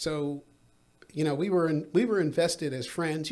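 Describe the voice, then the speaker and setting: A man speaks at a fairly quick pace with a fairly high pitch and ordinary pitch variation, on a very clean recording with a silent background. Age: 60s. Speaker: filmmaker and film student. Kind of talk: casual interview chat. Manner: halting, filler-heavy.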